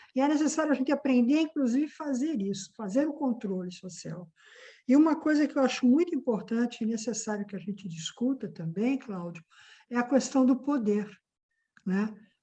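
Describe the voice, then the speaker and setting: A high-pitched woman's voice, dark and mellow in tone, with lively intonation at a moderate pace over a quiet background. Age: 60s. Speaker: activist and course moderator. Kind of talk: discussion.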